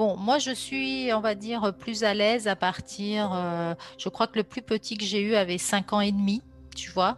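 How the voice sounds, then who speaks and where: With music in the background, a woman speaks at a medium pitch and a fairly slow pace, with ordinary pitch variation. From France, Grenoble. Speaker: sophrologist. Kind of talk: interview conversation. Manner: hesitant, many fillers.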